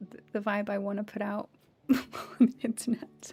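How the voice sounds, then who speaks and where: Over music in the background, a woman with an English accent talks at a medium pitch. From raised by American parents. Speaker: voice actor and game streamer. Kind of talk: casual chat. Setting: live stream.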